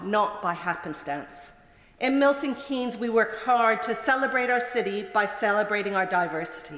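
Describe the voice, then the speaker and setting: A woman's fairly high voice at a moderate pace, with very wide pitch swings, audible room echo and noticeable background noise. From Canada. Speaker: member of parliament. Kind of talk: parliamentary maiden speech. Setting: parliament chamber.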